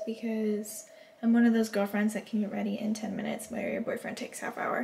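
The voice is a woman's. Light noise sits in the background. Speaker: travel vlogger. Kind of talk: casual vlog chat.

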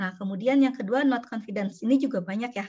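This woman's voice sits fairly high and is somewhat breathy. Her pitch varies in an ordinary way. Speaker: university lecturer and researcher. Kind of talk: online lecture. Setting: video call.

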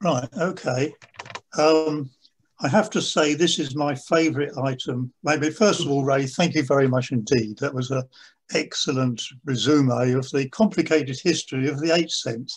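Somewhat breathy, this man speaks at a moderate pace against a quiet background. His pitch is fairly high with ordinary pitch variation. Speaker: stamp collector. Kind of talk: lecture. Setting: video call. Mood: pleased, enthusiastic. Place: home room. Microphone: video call.

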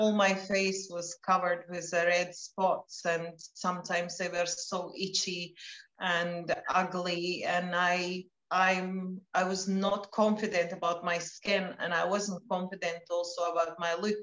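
Fairly slow, flat, monotone delivery in a quiet background with audible room echo. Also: woman. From Latvia. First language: Latvian. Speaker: wellness product promoter; interviewee. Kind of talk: casual chat. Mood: warm, personal, slightly emotional. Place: home room. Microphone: video call.

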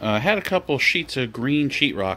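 Light noise sits in the background. The man talks at a moderate pace. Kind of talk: tutorial. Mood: joking, relaxed. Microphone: phone near.

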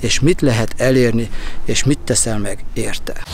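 The sound is dry with no echo, under light background noise. A man speaks at a moderate pace with ordinary pitch variation. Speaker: coach or speaker. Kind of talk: casual vlog chat. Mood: calm, reflective. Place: open country. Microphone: lapel.

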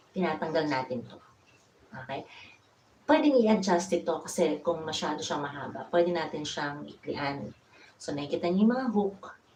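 A woman's very deep, low voice at a moderate pace, with lively intonation and big swings in loudness. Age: 50s. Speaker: DIY vlogger. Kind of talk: tutorial. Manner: casual.

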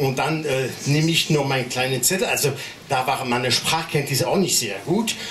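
A man with a French accent talks at a moderate pace, his pitch fairly high and its variation ordinary. His tone is animated and playful, his loudness very even, with light background noise behind him. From France. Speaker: stand-up comedian. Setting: stage with audience. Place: stage.

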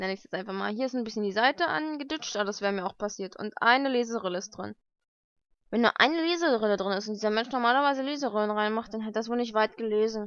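A woman's fairly high, fairly bright voice at a fast pace with ordinary pitch variation

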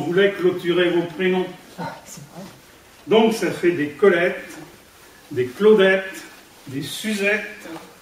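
With audible room echo and light background noise, a man speaks very slowly at a high pitch. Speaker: amateur poet. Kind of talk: poetry reading. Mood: warm, humorous. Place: hall. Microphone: camera far.

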